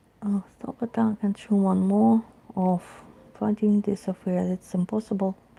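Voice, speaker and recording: A woman mumbles in a put-on character voice. Her pitch is medium, and her pace is moderate. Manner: mumbling.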